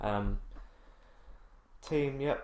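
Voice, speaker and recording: A man speaks quietly with an English accent. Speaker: gaming YouTuber. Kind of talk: let's play commentary. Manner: slow.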